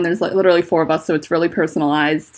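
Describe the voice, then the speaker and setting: A woman speaks with vocal fry. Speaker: fanfiction writer streaming. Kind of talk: casual livestream chat. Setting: livestream from home on laptop.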